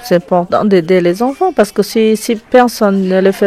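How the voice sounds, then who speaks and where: Amid noticeable background noise, a woman with a medium pitch speaks at a moderate pace with ordinary pitch variation. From French Guiana. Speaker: wood sculptor and visual artist. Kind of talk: interview answer.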